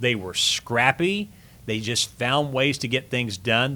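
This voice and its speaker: A normal speaking voice from a man of medium pitch, in an American accent, at a fairly slow pace with lively intonation. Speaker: radio play-by-play broadcaster, voice of a university sports team. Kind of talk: podcast interview answer.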